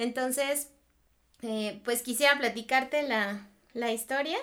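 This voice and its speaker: Very slow delivery with fairly even intonation on a very clean recording against a silent background. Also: woman. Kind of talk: casual chat.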